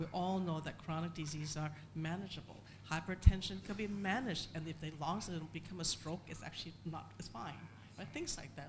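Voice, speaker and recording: A soft-spoken woman's fairly low voice, fairly quick pace and lively intonation, with audible room echo. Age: 60s. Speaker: foundation chair, panelist. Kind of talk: panel discussion. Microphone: too quiet.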